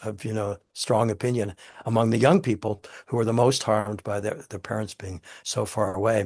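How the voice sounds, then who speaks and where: A man's somewhat breathy, fairly low voice with fairly even intonation. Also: quiet background. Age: 80s+. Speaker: author and theater director. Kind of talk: interview. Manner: halting, many repetitions.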